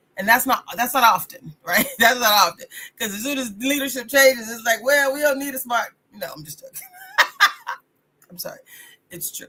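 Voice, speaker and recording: A woman with a high pitch speaks at a fairly quick pace in an animated tone, with ordinary pitch variation. Her loudness swings widely, and her pauses are long and frequent. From US South. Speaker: radio host and life coach. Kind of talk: motivational talk. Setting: live radio broadcast. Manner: fast.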